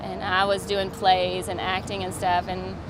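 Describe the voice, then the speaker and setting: A woman with a Southern US accent, amid audible room echo and noticeable background noise. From US South, Georgia. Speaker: stand-up comedian. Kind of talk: interview, comedic storytelling. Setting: comedy festival interview.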